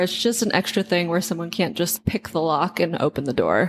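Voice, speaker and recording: In an American accent, a woman speaks at a moderate pace with ordinary pitch variation. It is a plain, everyday voice. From United States. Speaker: podcast co-host. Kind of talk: casual chat.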